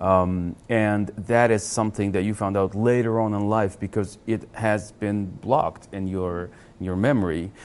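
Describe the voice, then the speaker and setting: Fairly low in pitch, a man with a Russian accent speaks at a fairly slow pace. His intonation is fairly even, with hardly any pauses. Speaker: channel host. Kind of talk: interview.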